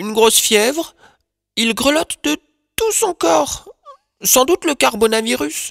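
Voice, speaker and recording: A put-on character voice at a fairly high pitch moves at a fairly slow pace, broken by long, frequent pauses. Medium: audio drama. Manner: hesitant, apologetic.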